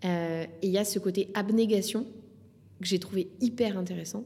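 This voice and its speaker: With fairly even intonation and a moderate pace, the voice carries a dark, mellow tone. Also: woman. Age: 30s. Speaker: sports federation communications manager. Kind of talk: interview conversation. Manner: halting.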